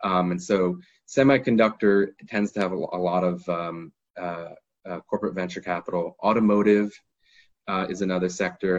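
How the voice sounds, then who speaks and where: With an American accent, a man talks at a moderate pace and a very deep, low pitch, his intonation fairly even against a quiet background. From United States. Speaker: lawyer. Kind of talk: webinar talk. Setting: online webinar.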